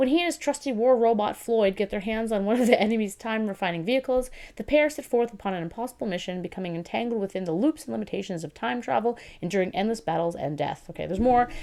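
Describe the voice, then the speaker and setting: On a very clean recording with a silent background, a woman talks at a very fast pace with hardly any pauses, lively intonation, a fairly high pitch and a dark, mellow tone. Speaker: book reviewer. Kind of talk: casual talk to camera.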